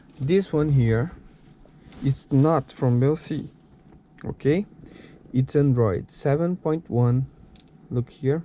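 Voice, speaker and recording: This man talks at a very slow pace in a Brazilian Portuguese accent, leaving long, frequent pauses. His voice is fairly high-pitched, with a dark, mellow tone and ordinary pitch variation. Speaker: tech video creator. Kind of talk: product unboxing tutorial. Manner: halting, with fillers.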